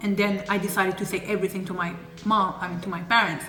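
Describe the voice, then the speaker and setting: With a French accent and an animated tone, the speaker moves at a fairly quick pace over background music and audible room echo. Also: woman. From Paris, France. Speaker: YouTuber. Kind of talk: casual chat.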